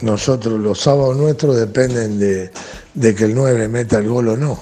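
A man's voice with ordinary pitch variation, audible room echo and music in the background. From Argentina. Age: 60s. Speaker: football coach. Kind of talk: interview. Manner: halting, many fillers and repetitions.

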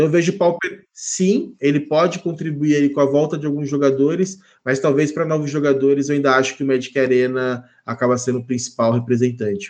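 With ordinary pitch variation, an ordinary speaking voice moves along fairly quickly. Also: man, fairly high pitch for a man. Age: 30s. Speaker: Magic card game writer and content creator. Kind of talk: casual chat.

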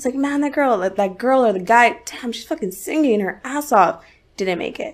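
This woman speaks in a high pitch at a moderate pace. Her intonation is lively. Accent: American. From La Puente, Los Angeles area. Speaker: singer. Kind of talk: casual interview chat.

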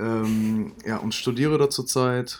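A man uses an unremarkable speaking voice at a medium pitch with fairly even intonation. It is a very clean recording with a silent background. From Germany, Cologne. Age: 20s. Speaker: podcast co-host, student startup founder. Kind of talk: casual chat.

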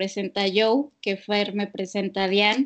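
Against a quiet background, a woman speaks at a fairly slow pace with a medium pitch. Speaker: psychologist. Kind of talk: casual chat. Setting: remote call.

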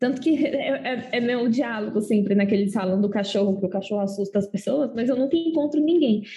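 In an unremarkable speaking voice, the speaker moves at a fairly quick pace with hardly any pauses and ordinary pitch variation. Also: woman, fairly high pitch for a woman. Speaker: podcast co-host. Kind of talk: casual chat.

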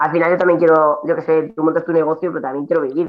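A woman with a fairly low pitch talks in a monotone, flat intonation. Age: 30s. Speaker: CrossFit athlete. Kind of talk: casual chat.

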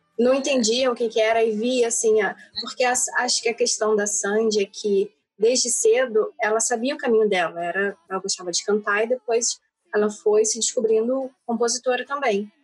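A woman speaks at a moderate pace in an ordinary speaking voice. Her pitch sits fairly high and varies in an ordinary way. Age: 30s. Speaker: podcast co-host. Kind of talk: casual chat.

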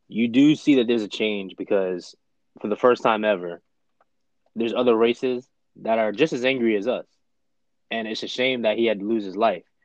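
In a dry, close sound with no echo, a man of medium pitch talks at a fairly quick pace with fairly even intonation and long, frequent pauses. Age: 20s. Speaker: podcast co-host. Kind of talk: casual chat.

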